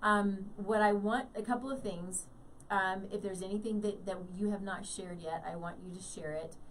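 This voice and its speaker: A woman at a moderate pace, fairly even in intonation, with audible room echo. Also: medium pitch for a woman. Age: 50s. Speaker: radio host. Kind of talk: interview.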